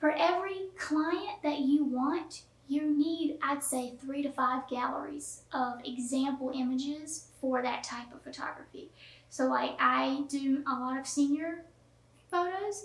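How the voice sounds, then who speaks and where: Slightly Southern US in accent, a woman with a high pitch speaks at a fairly slow pace with ordinary pitch variation and big swings in loudness, amid audible room echo. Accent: slight Southern. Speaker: photographer teaching online course. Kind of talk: tutorial. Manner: casual, down-to-earth with many fillers.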